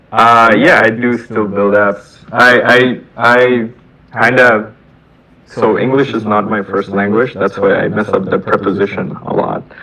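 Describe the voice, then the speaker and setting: A man talks at a medium pitch. Noticeable background noise sits behind him. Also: fairly even intonation, fairly slow pace. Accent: Bengali. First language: Bengali. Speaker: software engineer. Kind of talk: casual chat. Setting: video call. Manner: halting, repeats words.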